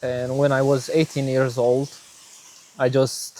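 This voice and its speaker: A man with a Romanian accent speaks at a very slow pace. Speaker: vlogger sharing faith story. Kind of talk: personal testimony. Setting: outdoors. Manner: hesitant, many fillers.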